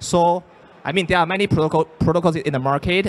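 Here a man talks at a very fast pace. His pitch varies in an ordinary way. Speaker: metaverse platform exec; panelist. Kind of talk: panel discussion. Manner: hesitant with fillers. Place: hall. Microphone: handheld.

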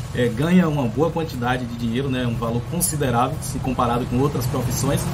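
Loud background noise fills the recording. The speech is fairly quick, with ordinary pitch variation. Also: man. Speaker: pool service channel host. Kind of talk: casual vlog chat. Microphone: phone near.

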